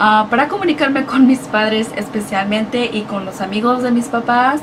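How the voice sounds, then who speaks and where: A woman at a fairly high pitch and a fairly quick pace, with noticeable background noise. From United States, Mexican-American family. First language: Spanish. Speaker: YouTuber. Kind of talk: casual vlog. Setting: indoors, hot room.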